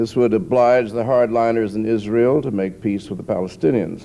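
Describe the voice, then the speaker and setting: A man of medium pitch talks in an ordinary speaking voice. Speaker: novelist. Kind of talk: political speech. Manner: dry, sardonic.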